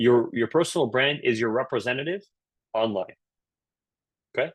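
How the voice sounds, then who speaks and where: A fairly quick, medium-pitched man with a Canadian accent and ordinary pitch variation, recorded with a dry, close sound and no echo. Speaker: career coach. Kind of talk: webinar talk. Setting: virtual session. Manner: animated, casual.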